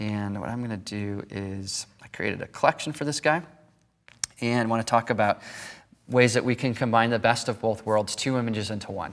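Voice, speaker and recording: A man talks in a plain, everyday voice at a fairly quick pace. His pitch variation is ordinary. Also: medium pitch for a man. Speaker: photography instructor. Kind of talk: tutorial.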